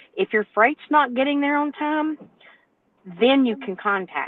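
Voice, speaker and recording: The speaker is a woman. Her accent is a Southern US accent. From North Carolina. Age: 60s. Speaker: owner-operator truck driver. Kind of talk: panel discussion. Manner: animated.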